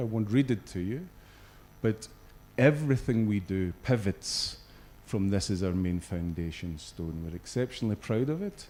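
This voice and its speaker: A man speaks with a Scottish accent at a fairly low pitch. His tone is dark and mellow, and his intonation lively. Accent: Scottish, noticeable. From Scotland. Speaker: regional business executive. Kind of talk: corporate presentation. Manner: hesitant, many fillers.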